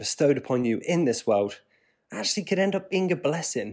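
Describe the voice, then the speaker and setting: A man speaks with a West Country accent and lively intonation. The recording is very clean, with a silent background. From Devon, England. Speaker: podcast host. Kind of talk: solo podcast monologue.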